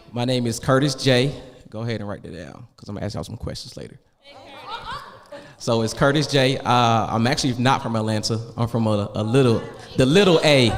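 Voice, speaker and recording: At a fairly quick pace, a man speaks at medium pitch with ordinary pitch variation, big swings in loudness and long, frequent pauses. Audible room echo and noticeable background noise fill the recording. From Augusta, Georgia. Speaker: wealth coach. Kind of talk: panel discussion. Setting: stage with audience. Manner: animated.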